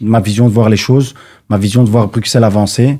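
This man's tone is dark and mellow. His voice is captured on a very clean recording with a silent background. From Brussels (Laeken, Molenbeek). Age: 20s. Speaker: political candidate. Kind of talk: radio interview. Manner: halting, hesitant.

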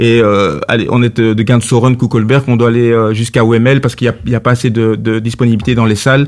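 Barely pausing, a man talks at a fairly quick pace and a medium pitch, his loudness very even and his intonation fairly even. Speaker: former sports journalist and politician. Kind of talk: radio interview. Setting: studio. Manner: halting.

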